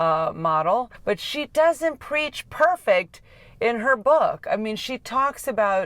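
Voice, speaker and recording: A woman talks at a very slow pace in a very clean recording with a silent background. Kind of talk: casual book review talk to camera. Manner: casual, hesitant with fillers.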